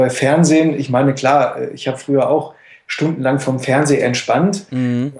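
An ordinary speaking voice from a man at fairly high pitch, moderate pace and fairly even intonation. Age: 30s. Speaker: boxing coach and former semi-pro boxer. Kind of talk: casual interview.

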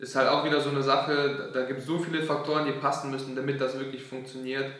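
A man speaks at a very fast pace. Audible room echo surrounds his voice. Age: 20s. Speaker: software developer and entrepreneur. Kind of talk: casual chat.

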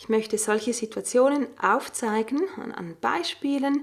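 A very slow, high-pitched woman's voice with lively intonation. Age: 40s. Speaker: stress coach and podcast host. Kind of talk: solo podcast monologue.

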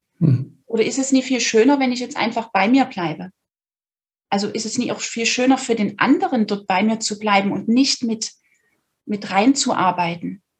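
Her voice is somewhat breathy and fairly high in pitch, and this woman talks at a moderate pace. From Saxony, Dresden. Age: 30s. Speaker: podcast guest sharing personal story. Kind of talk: personal testimony in interview. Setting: video recording.

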